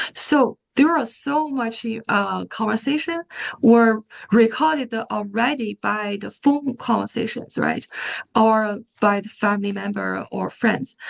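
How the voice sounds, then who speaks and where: A woman with a Japanese accent speaks at a fairly slow pace, her fairly high pitch showing ordinary variation. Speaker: AI researcher presenter. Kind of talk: Q&A after a talk. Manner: halting, many fillers and repetitions.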